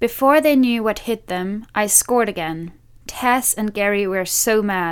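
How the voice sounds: The voice reads aloud naturally, with pitch varying in an ordinary way.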